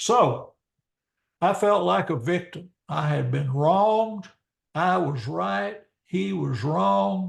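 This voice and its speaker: Over a quiet background, a man speaks very slowly in a fairly high, somewhat breathy voice with very wide pitch swings. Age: 70s. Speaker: preacher. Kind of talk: lecture.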